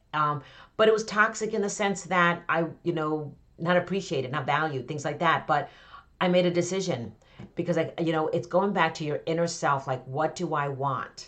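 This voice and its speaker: A woman speaks in an ordinary speaking voice with an American accent, her pitch fairly low and its variation ordinary, at a moderate pace. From Connecticut, US. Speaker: author and business coach. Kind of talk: podcast interview.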